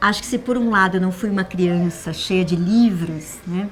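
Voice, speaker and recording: A woman speaks at a moderate pace with fairly even intonation. Noticeable background noise sits behind her. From Brazil, São Paulo. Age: 60s. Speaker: literature teacher and reading mediator. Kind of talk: testimony. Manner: conversational, frequent 'né?' tags and self-restarts.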